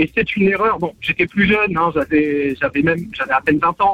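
Over noticeable background noise, a man talks at a fairly quick pace in a high pitch with lively intonation, and the sound is dry and close with no echo. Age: 30s. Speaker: radio caller. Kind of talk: phone-in radio testimony. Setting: phone call. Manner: halting.

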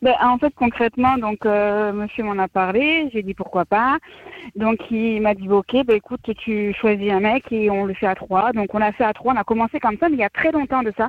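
At a moderate pace, a woman uses a normal speaking voice with a fairly high pitch and ordinary pitch variation. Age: 20s. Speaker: caller. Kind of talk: radio call-in chat.

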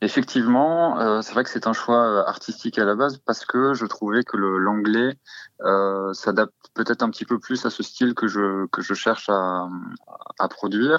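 Here a man talks fairly slowly at a medium pitch, with ordinary pitch variation. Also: dry, close sound with no echo. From Normandy, France. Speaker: musician. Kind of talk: interview. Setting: phone call. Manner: halting.

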